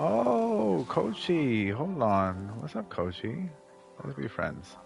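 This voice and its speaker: At a very slow pace, a man with a medium pitch moves through very wide pitch swings. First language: not English. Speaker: gaming streamer. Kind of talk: let's play commentary. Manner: casual, joking.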